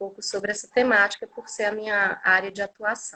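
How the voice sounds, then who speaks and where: The speaker has an ordinary speaking voice, talking at a moderate pace with fairly even intonation. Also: woman. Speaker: occupational therapist and lecturer. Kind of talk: online lecture. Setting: livestream.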